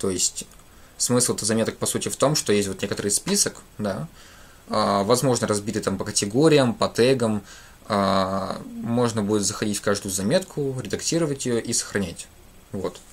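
A man's fairly low voice at a moderate pace with ordinary pitch variation. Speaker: programming teacher; programming streamer. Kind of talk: live coding tutorial. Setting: livestream at computer. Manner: halting, many filler sounds. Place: home room.

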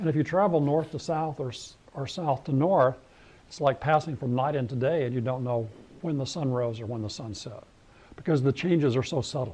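This man speaks at a fairly quick pace, his voice fairly high with a dark, mellow tone. His pitch variation is ordinary. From New Mexico. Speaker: scientist. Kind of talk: lecture. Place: hall.

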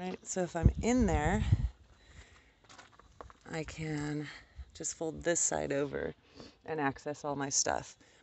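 A woman talks very slowly, leaving long pauses again and again. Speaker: van dweller. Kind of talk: casual talk to camera.

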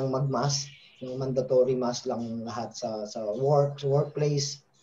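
Here a man speaks at a fairly slow pace. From Philippines. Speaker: football coach and former national team player; football coach. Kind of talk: casual interview. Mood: relaxed, friendly. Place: home room. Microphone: video call.

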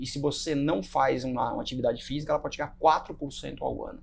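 Light background noise runs under a man's voice. He speaks at a moderate pace with a fairly high pitch. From Brazil. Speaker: podcast host and runner; podcast host. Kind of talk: casual chat. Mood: relaxed, friendly. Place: home room. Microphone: lapel.

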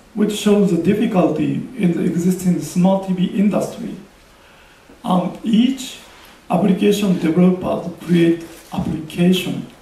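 A man speaks at a high pitch and a fairly slow pace, with ordinary pitch variation. Audible room echo fills the recording. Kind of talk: press conference presentation. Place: hall. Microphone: podium.

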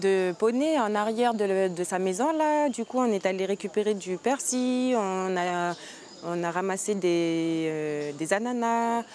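Over light background noise, a woman speaks at a very slow pace with lively intonation. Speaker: youth exchange organizer. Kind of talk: casual instructions to group. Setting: outdoors. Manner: halting. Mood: calm, friendly. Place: garden.

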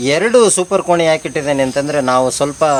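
Pitch moves in a normal way throughout, while noticeable background noise persists underneath. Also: man. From Karnataka, Sagar taluk (Malnad region). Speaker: art teacher and hobby beekeeper. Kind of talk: explanatory demonstration. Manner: halting, with frequent pauses.

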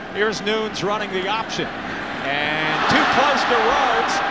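A man with a high pitch at a very slow pace, amid noticeable background noise. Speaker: football play-by-play announcer. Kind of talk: live sports commentary.

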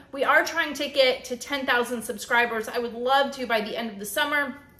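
In a raised, projected voice, the speaker moves at a fairly quick pace with ordinary pitch variation. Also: woman. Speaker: keto vlogger. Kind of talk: casual vlog chat. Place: kitchen. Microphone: phone near.

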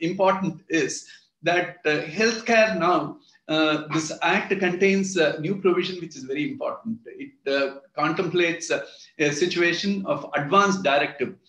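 A man with an Indian accent and a high pitch, at a fairly slow pace with ordinary pitch variation, audible room echo over a quiet background. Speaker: retired judge. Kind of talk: lecture. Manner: halting. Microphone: video call.

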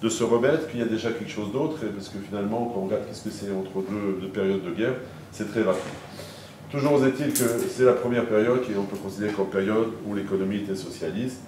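A man speaks at a very fast pace with fairly low pitch and ordinary pitch variation. Audible room echo and light background noise surround him. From Paris, France. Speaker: lecturer. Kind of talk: lecture. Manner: halting. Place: hall.

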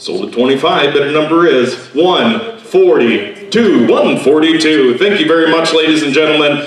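With hardly any pauses, a man talks with ordinary pitch variation amid audible room echo. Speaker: auctioneer. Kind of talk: auction item introduction to audience. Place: hall.

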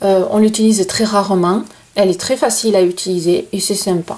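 A woman at a fairly slow pace. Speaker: crochet channel host. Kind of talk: tutorial. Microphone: camera far.

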